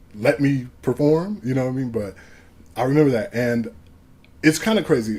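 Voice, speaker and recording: A man with an American accent, medium in pitch and dark, mellow in tone, at a fairly quick pace. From Ohio, Cleveland area. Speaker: music producer and rapper. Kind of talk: casual interview chat.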